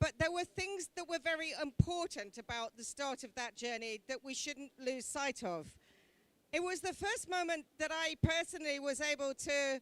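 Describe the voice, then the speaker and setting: A loud, high-pitched woman with lively intonation and a British accent, in a dry, close sound with no echo. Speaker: government envoy. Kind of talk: conference speech. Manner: slow.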